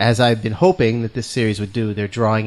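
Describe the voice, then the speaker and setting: Very fast and in a New England accent, a man speaks with a fairly low pitch and monotone, flat intonation. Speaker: podcast host.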